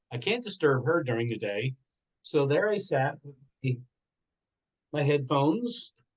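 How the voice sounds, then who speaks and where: At a moderate pace, a man talks with a fairly high pitch in a normal speaking voice. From Pennsylvania Dutch Country, Lancaster. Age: 60s. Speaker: entrepreneur and motivational speaker. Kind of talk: interview testimony.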